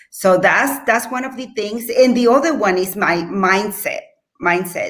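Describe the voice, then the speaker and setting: A woman is speaking. She has a non-native accent. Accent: foreign accent in English. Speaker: real estate agent. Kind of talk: panel discussion. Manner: halting, many repetitions.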